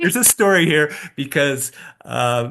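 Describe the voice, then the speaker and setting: A man's bright, sharp tone at a moderate pace, over a quiet background. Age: 60s. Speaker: race director. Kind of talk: casual chat. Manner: halting, with many repeated words.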